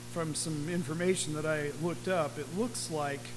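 A man speaks with a fairly high pitch, and the room echo is audible. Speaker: pastor. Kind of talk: sermon.

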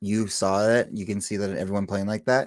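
This man keeps his intonation fairly even. The background is silent and the recording very clean. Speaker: football podcast co-host. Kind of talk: casual chat.

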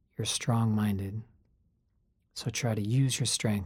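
Somewhat breathy and fairly slow, the voice keeps a fairly even intonation in a very clean recording with a silent background. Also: man. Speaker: meditation guide. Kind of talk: guided meditation, calm and instructive. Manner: reflective, conversational.

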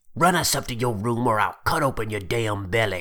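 A man uses a put-on character voice with growling and hissing, at medium pitch. His pace is fairly quick and his pitch variation ordinary. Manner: hissing, menacing.

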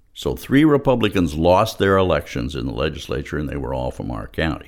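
A man talks with an American accent and vocal fry. His pitch swings very widely. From Los Angeles, California. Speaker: political organizer and activist. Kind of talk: interview.

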